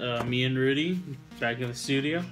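Clear music plays behind a man who speaks at a moderate pace with ordinary pitch variation. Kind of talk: casual vlog chat. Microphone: camera far.

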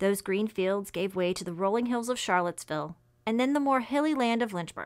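Over a quiet background, a woman speaks with ordinary pitch variation. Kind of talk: personal testimony. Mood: calm, reflective, devotional. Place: office.

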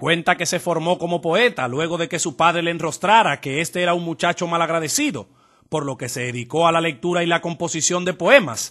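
Against a quiet background, a man with a high pitch and a bright, sharp tone talks at a fairly quick pace with ordinary pitch variation. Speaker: TV news reporter. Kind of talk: TV news report narration.

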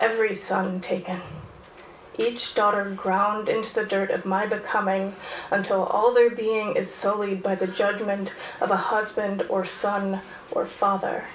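Her intonation is monotone and flat, and the woman speaks at a fairly slow pace. Light background noise and audible room echo surround her. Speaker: poet performer. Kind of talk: poem performed, spoken-word poetry. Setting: stage with audience. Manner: casual, chatty and self-aware between pieces. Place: stage.

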